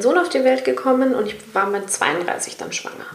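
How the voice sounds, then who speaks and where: A woman speaks over noticeable background noise. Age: 30s. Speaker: podcast host, radio presenter. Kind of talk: casual chat.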